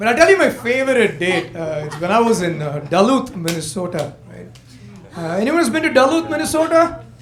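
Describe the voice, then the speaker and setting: Over noticeable background noise and audible room echo, a man with an Indian accent speaks at a fairly quick pace in a high pitch, with very wide pitch swings and big swings in loudness. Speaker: stand-up comedian. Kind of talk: stand-up. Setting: comedy club stage with audience.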